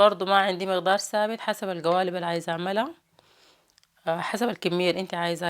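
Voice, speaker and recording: The speaker talks with a Sudanese accent in a very clean recording with a silent background. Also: woman. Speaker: cooking vlogger. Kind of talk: cooking tutorial.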